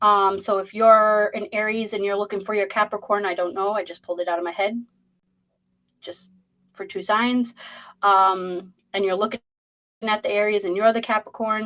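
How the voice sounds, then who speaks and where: In a Boston accent, a woman at a medium pitch speaks at a moderate pace with a bright, sharp tone and monotone, flat intonation, leaving long, frequent pauses. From Boston, Massachusetts. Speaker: tarot reader. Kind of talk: live stream chat and tarot reading. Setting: livestream. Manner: casual, rambling with fillers.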